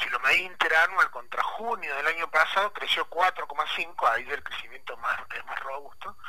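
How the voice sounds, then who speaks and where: The speaker runs on with hardly any pauses against noticeable background noise. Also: man, moderate pace. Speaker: public opinion pollster and analyst. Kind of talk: radio interview.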